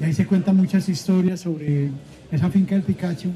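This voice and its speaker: Music plays in the background while a man talks. His pitch is high, his intonation fairly even. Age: 70s. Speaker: bookseller. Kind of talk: live interview. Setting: stage with audience at book festival.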